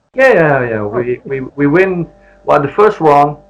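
A man with a non-native accent speaks at a fairly high pitch. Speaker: former professional footballer. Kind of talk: interview. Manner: halting.

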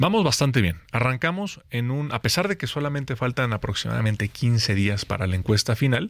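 Recorded very cleanly with a silent background, a man uses a plain, everyday voice at a medium pitch, moving at a moderate pace with lively intonation. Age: 30s. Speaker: politician. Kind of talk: interview. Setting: studio.

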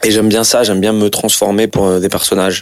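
A man with medium pitch at a very fast pace, over noticeable background noise. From France, Algerian heritage. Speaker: actor. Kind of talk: casual interview. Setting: sitting on a couch. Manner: halting, repetitive hesitations.

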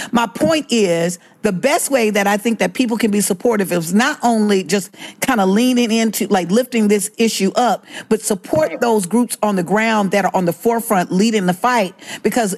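With an American accent, a woman talks in a plain, everyday voice at a fairly high pitch and moderate pace, with ordinary pitch variation and very even loudness. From Alabama, US South. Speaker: voting rights activist. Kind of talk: interview.

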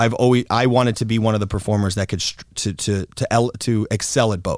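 A man with a fairly low pitch and fairly even intonation talks on a very clean recording with a silent background. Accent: American. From Florida, US. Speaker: adult film performer and director. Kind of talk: casual interview chat.

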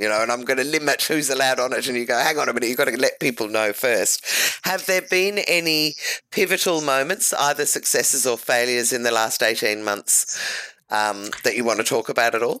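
The delivery is fairly quick, with lively intonation, in an Australian accent. The tone is bright and sharp. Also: woman, very deep, low pitch for a woman, very even loudness. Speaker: podcast host. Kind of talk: interview. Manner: enthusiastic.

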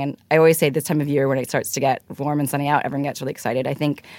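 A woman's very deep, low voice at a very fast pace, dry and close with no echo. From Hong Kong. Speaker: fashion buying director. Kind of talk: interview. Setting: studio.

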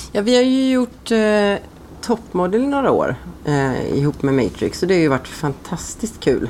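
This woman speaks at a moderate pace and a medium pitch. Her pitch swings very widely while her loudness stays very even. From Sweden, Ulricehamn. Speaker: hairdresser. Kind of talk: casual chat.

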